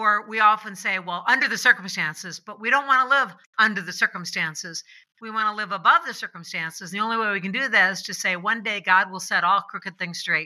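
A woman with an American accent talks at a very fast pace. Her loudness swings widely. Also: medium pitch for a woman, ordinary pitch variation. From US Midwest, Illinois. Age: 70s. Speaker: author and speaker. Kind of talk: casual interview chat.

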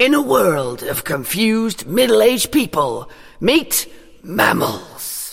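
In a put-on character voice, the speaker holds a middle pitch at a fairly slow pace. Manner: dramatic, announcer-like.

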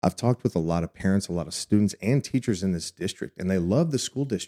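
A man with an American accent and a dark, mellow tone talks at a fairly quick pace with lively intonation. The sound is dry and close with no echo, and the recording is very clean with a silent background. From Texas. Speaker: school board candidate. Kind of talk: interview.

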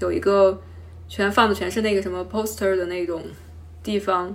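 A woman's fairly quick speech with audible room echo. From Henan, China. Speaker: carpenter, former civil servant. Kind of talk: interview.

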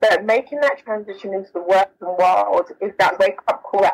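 A woman speaks at a fairly quick pace with a South London accent. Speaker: author and diversity program manager. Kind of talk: interview.

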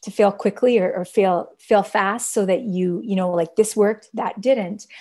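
A woman's medium-pitched, dark, mellow voice with a Canadian accent, fairly even intonation and a moderate pace against a quiet background. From Canada. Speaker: social entrepreneur and fashion brand founder. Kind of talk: interview conversation. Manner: hesitant, many fillers.

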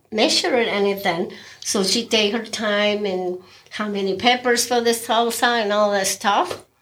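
With a Mexican accent, a woman speaks at a moderate pace and fairly high pitch, with ordinary pitch variation. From Mexico. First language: Spanish. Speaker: restaurant owner and cook. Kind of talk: casual interview. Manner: non-native, simple grammar.

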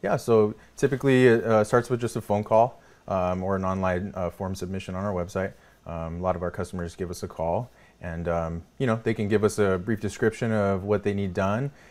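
Very clean and set against a silent background, this recording has a man with an American accent speaking at a fairly quick pace, his fairly low pitch held in fairly even intonation. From California (Salinas). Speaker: business owner. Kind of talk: interview. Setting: studio.

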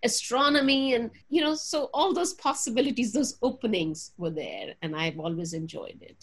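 Against a quiet background, a woman talks at a fairly quick pace with very wide pitch swings. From Punjab, India. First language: Punjabi. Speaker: religion professor. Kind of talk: interview. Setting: video call.

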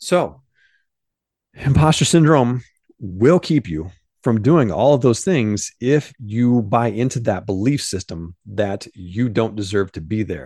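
In a quiet setting, a man with a Midwestern American accent talks very slowly at a medium pitch, his tone dark and mellow and his intonation lively. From US Midwest, southern Illinois. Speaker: podcast host, mindset coach. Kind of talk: motivational monologue. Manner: casual, animated.

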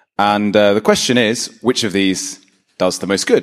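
Speaking at a very fast pace, this man has a fairly low pitch. His pitch variation is ordinary. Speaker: institute founder pitching. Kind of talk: short pitch talk.

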